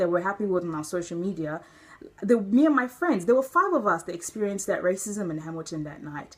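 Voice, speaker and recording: The delivery is fairly quick with lively intonation. Noticeable background noise runs underneath. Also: woman. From Nigeria, moved to New Zealand as a young child. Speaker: vlogger. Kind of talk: personal opinion vlog. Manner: animated, emotional.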